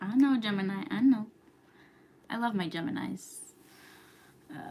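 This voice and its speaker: At a moderate pace, a woman with an American accent talks with lively intonation at a fairly high pitch over noticeable background noise. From New York. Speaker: astrology youtuber. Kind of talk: casual livestream chat. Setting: live stream at home. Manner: whispering, quiet.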